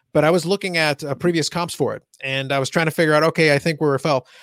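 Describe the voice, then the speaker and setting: A man with a fairly high voice talks at a very fast pace with fairly even intonation. The recording is very clean with a silent background. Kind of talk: casual chat.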